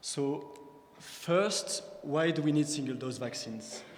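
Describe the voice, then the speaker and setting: Someone speaks with a French accent, with music playing in the background and audible echo in the room. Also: man. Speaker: PhD researcher, prize recipient. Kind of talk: scientific talk. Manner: halting, with fillers.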